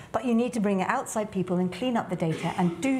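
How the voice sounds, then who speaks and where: A woman with a British accent talks at a fairly quick pace. There is light background noise. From England. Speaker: tech entrepreneur and business leader. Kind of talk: panel discussion. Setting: stage with audience. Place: studio. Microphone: lapel.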